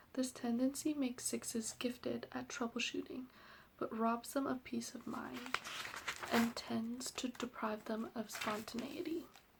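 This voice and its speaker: Noticeable background noise behind fairly slow speech. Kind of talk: ASMR soft-spoken explanation reading out personality type descriptions. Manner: soft-spoken, whispery.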